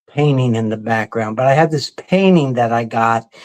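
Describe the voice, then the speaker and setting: An American accent marks this man's medium-pitched voice, an ordinary speaking voice with ordinary pitch variation at a moderate pace. The recording is very clean, with a silent background. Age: 60s. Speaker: vinyl record show host. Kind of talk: casual chat.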